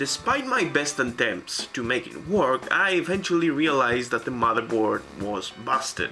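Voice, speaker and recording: A man with a non-native accent, music playing in the background. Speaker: retro PC hardware hobbyist. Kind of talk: casual talk to camera. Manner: awkward.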